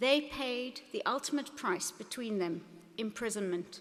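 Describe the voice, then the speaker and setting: Noticeable background noise sits behind a woman who talks at a fairly quick pace in a high pitch with lively intonation. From South Africa. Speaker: business executive and keynote speaker. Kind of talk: commencement speech. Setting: stage with audience at graduation ceremony. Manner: passionate, formal.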